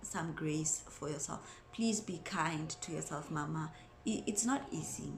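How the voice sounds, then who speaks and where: In a room with audible echo, a woman speaks at a fairly slow pace with a fairly low pitch and ordinary pitch variation. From South Africa. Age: 20s. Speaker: mom vlogger. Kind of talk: casual vlog talk to camera.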